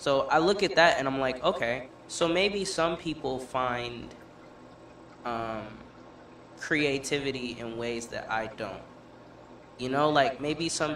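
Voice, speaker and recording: A man with a fairly high voice speaks very slowly, leaving long, frequent pauses, with ordinary pitch variation, light background noise and audible room echo. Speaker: podcast co-host. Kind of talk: casual chat. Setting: studio. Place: studio.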